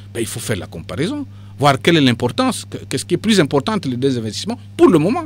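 At a very fast pace, a man speaks at medium pitch with very wide pitch swings and big swings in loudness. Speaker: party politician. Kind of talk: radio interview.

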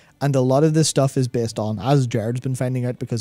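A man talks at a fairly quick pace with fairly even intonation. The sound is dry with no echo, and faint music plays in the background. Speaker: podcast co-host. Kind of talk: podcast discussion. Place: studio. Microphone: studio mic.

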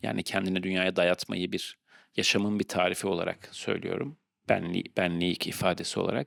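In a dry, close sound with no echo, a man talks at a very deep, low pitch. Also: fairly even intonation, moderate pace. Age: 40s. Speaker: podcast host. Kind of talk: solo monologue. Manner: halting with many fillers.

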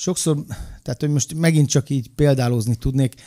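Here a man speaks in a dark, mellow tone with ordinary pitch variation. The background is quiet. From Hungary. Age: 40s. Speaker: former wrestler and coach; coach. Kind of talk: casual chat. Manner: animated. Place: studio. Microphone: studio mic.

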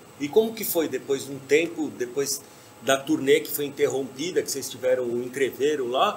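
A man's unremarkable speaking voice with lively intonation at a moderate pace, over light background noise. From Brazil. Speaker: podcast host. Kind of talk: casual chat. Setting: bar or venue with stage. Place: stage.

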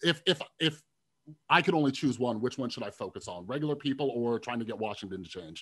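The background stays quiet. A man rushes along at a very fast pace, his intonation lively. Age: 30s. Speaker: mental health podcast host. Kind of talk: interview. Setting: video call. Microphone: video call.

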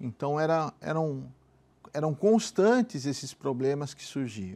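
Lively intonation and a dark, mellow tone mark this man's fairly high voice. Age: 50s. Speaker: businessman giving religious testimony. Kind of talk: testimony. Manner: halting. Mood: somber, reflective about illness. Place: studio. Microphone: lapel.

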